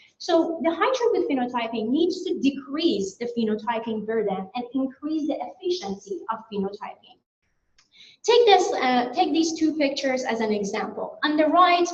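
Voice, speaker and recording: Very wide pitch swings in a Persian accent at a moderate pace, with audible room echo. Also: woman, high pitch for a woman. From Iran. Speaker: plant science researcher. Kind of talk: conference presentation. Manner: some hesitations and restarts.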